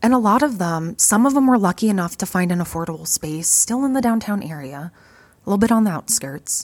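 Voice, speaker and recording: Very fast and with lively intonation, a woman in an Upper Midwest accent speaks in a somewhat breathy voice. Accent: Upper Midwest American. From US Midwest, Fargo, North Dakota. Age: 30s. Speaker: podcast host and vintage shop owner. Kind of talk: casual monologue. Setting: retail shop counter.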